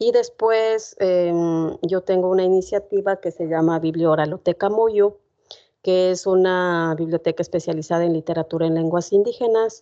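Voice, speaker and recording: With a dark, mellow tone, a woman talks at a moderate pace and medium pitch, her intonation fairly even against a quiet background. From Ecuador, Otavalo (Kichwa community). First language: Kichwa (speaking Spanish). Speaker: poet. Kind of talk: talk to university class. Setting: university classroom with audience. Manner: many filler sounds (eh, em).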